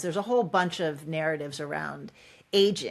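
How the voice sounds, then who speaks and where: This woman has a plain, everyday voice, fairly low in pitch with ordinary variation. The recording is very clean, with a silent background. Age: 60s. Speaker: author and executive coach. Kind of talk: podcast interview.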